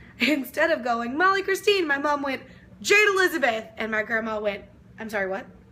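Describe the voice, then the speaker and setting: In a raised, projected voice, a woman with a high pitch and an animated tone swings very widely in pitch at a fairly quick pace. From Texas (Lufkin, East Texas). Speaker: vlogger. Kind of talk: casual vlog Q&A. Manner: loud.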